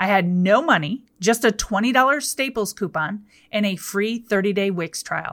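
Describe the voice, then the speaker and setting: Animated in tone, a woman with a medium pitch talks at a moderate pace with ordinary pitch variation. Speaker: podcast host and business coach. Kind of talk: solo podcast monologue. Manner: loud.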